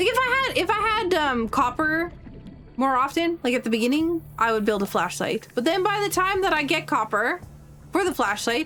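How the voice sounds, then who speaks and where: Speaking in a raised, projected voice, a woman with a high pitch moves at a fairly quick pace, her pitch swinging very widely while her loudness stays very even. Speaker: video game streamer. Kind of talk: casual gameplay commentary.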